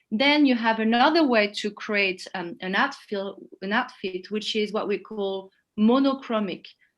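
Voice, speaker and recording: In a French accent, a woman speaks at a fairly slow pace with fairly high pitch and ordinary pitch variation. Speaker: image consultant. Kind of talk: webinar explanation.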